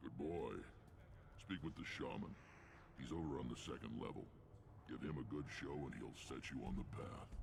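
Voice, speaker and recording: Using a put-on character voice, a man speaks at a moderate pace with long, frequent pauses over loud background noise. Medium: video game. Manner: gravelly, commanding.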